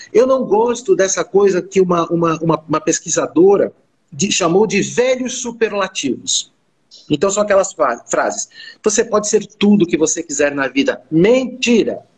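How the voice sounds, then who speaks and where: Lively intonation rides over very even loudness, delivered at a moderate pace. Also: man, high pitch for a man. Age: 50s. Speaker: business school owner and career coach. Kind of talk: panel discussion.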